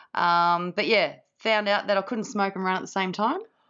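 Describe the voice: Shouting in a hoarse voice, a woman sounds fairly bright in tone, at a medium pitch. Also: fairly even intonation, moderate pace.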